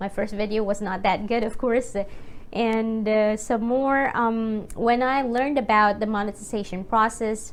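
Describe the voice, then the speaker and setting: A woman with a Filipino accent, fairly high pitch, ordinary pitch variation and a fairly slow pace. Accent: Filipino accent, noticeable. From Philippines. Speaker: YouTuber and teacher. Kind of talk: casual vlog talk. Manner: hesitant, many fillers.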